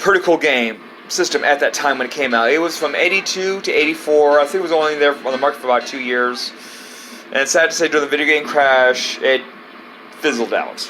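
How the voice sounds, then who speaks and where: Against noticeable background noise, a man with an American accent speaks fairly quickly at a fairly high pitch, with ordinary pitch variation. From United States. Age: 50s. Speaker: retro video game collector. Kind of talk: casual show-and-tell video. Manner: rambling, repetitive, halting.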